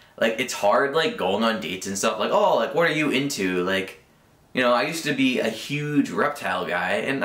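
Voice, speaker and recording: A man's lively intonation amid noticeable background noise and audible room echo. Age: 20s. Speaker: vlogger. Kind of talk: casual vlog monologue. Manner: rambling filler-heavy, unscripted; occasional stuttering.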